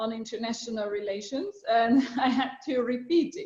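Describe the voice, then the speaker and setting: A woman speaks with a Slovak accent. Her voice is somewhat breathy. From Slovakia. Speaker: international organization official. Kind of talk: talk to students. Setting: video call. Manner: hesitant with many fillers.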